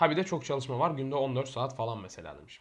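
Speaking at a very fast pace, a man keeps his pitch variation ordinary. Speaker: podcast co-host, entrepreneur. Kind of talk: casual chat.

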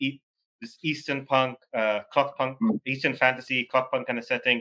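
With a bright, sharp tone, a man speaks at a very fast pace against a quiet background. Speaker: podcast host. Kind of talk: interview. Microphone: video call.

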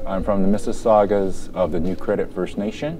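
A man talks at a moderate pace with ordinary pitch variation while music plays in the background. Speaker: interviewee. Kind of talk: interview answer. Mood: calm, proud.

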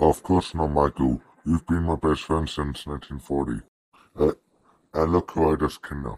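A man's very deep, low voice, fairly slow and fairly even in intonation, with a dry, close sound and no echo. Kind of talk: amateur fandub acting. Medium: fan dub. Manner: smug, teasing, casually menacing.

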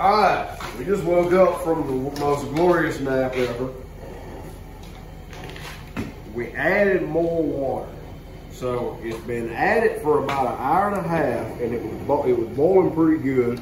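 Noticeable background noise surrounds a man speaking at a fairly slow pace. He pauses often and long, with ordinary pitch variation. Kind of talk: casual cooking vlog chat. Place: kitchen.

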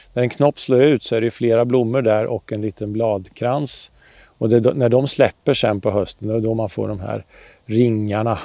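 In a dry sound with no echo, a man speaks at a moderate pace with fairly even intonation. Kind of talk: tutorial. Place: garden.

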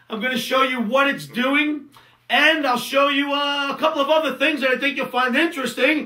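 The voice is raised and projected. Its intonation stays fairly even. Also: man. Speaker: trading educator. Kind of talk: webinar presentation. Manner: casual, conversational.

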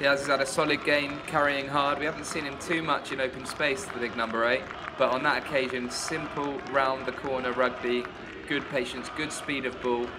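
Moderate pace against noticeable background noise. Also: man, fairly high pitch for a man. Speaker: co-commentator. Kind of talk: live sports commentary, analyst remarks. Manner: enthusiastic, conversational.

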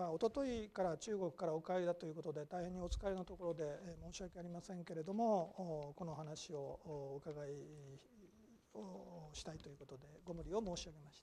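A woman with a fairly low pitch and a dark, mellow tone speaks at a moderate pace, her intonation lively and her loudness swinging widely. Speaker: moderator. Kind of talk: formal introduction. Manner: formal.

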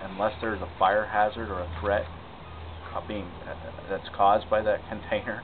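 A man talks at a moderate pace with a fairly low pitch. Noticeable background noise runs under his voice. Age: 40s. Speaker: city council candidate; council candidate. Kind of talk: interview answers. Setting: outdoors in a city park.

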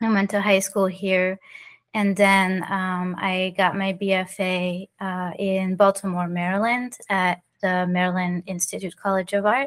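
She speaks at a fairly slow pace. The woman's intonation is monotone and flat. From France (Paris), moved to South Florida as teen. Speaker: artist and magazine co-founder. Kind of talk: interview.

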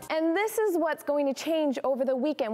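A woman speaks in an upbeat, energetic tone. Her intonation is lively. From Arizona, United States. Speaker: weathercaster. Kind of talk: TV weather forecast presentation. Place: studio. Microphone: lapel.

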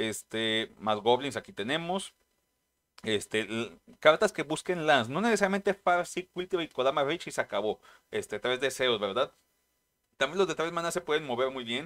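Fairly high pitch from a man with a Mexican accent, very wide pitch swings and long, frequent pauses, in a quiet background. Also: moderate pace. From Mexico. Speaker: trading card game youtuber. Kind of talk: casual vlog narration. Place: home room.

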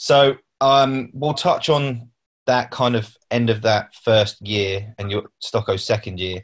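Against a quiet background, a man speaks very slowly in a somewhat breathy voice with ordinary pitch variation. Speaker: club media interviewer. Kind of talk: interview. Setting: video call. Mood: relaxed, reminiscing. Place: home room. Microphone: video call.

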